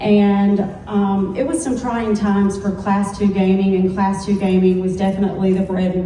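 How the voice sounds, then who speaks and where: A woman's flat, monotone voice at medium pitch and moderate pace, with noticeable background noise and audible room echo. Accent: Southern. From US South, Alabama. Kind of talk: panel discussion.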